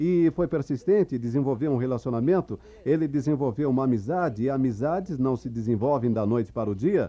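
Lively intonation runs through this man's speech. His pitch is medium and his pace moderate. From New York City (the Bronx). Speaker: motivational speaker at a business convention. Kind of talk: motivational speech. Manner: animated.

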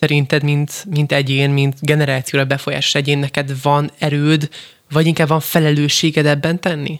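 At a fairly high pitch, a man speaks with very even loudness and a monotone, flat intonation. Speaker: radio host. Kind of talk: radio interview. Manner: fast.

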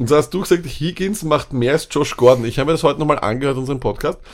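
A man is speaking. His pace is very fast. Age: 30s. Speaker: fantasy football podcast co-host. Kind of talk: casual chat.

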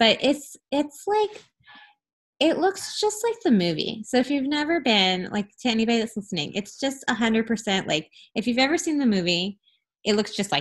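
A woman with a slight Southern US accent speaks at a fairly high pitch. Her pitch swings very widely on a very clean recording with a silent background. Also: moderate pace. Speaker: podcast host and travel advisor. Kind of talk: interview, casual conversation.

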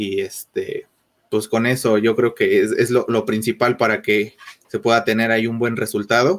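The man's pitch falls in the medium range. He talks at a moderate pace. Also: ordinary pitch variation. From Mexico City. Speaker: photographer. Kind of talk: interview. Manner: halting.

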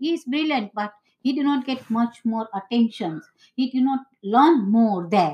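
With a Gujarati accent, the speaker uses lively intonation and a dark, mellow tone at a fairly slow pace. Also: woman, fairly high pitch for a woman. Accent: Indian (Gujarati). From India, Mumbai. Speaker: interviewee, host's mother. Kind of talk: casual interview. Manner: halting.

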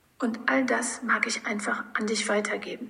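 A woman talks at a moderate pace with a fairly high pitch and monotone, flat intonation. Background noise is noticeable. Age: 40s. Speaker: podcast host. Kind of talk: personal monologue.

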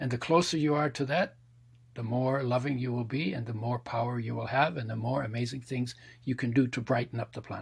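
Somewhat breathy, a man talks at medium pitch with fairly even intonation. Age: 70s. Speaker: health and spirituality author. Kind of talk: interview conversation.

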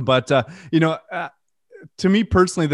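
A man with a French Canadian accent talks at a very fast pace with ordinary pitch variation. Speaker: death metal musician. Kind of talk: interview. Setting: video call.

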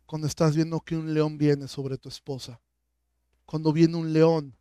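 A man speaks at a fairly slow pace in a fairly high pitch, with a dark, mellow tone. His intonation is flat and monotone, and the sound is dry and close with no echo. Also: very clean recording, silent background. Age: 40s. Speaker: pastor. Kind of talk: sermon.

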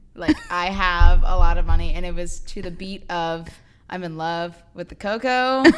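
Against noticeable background noise, a woman speaks at a moderate pace and medium pitch with ordinary pitch variation and big swings in loudness. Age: 20s. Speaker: guest, sister of host, incoming law student. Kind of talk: casual chat.

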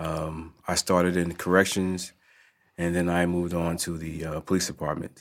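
Flat, monotone delivery in an American accent on a very clean recording with a silent background. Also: man, very deep, low pitch for a man, moderate pace. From New Jersey, Newark. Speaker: police detective. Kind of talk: casual chat. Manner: halting.

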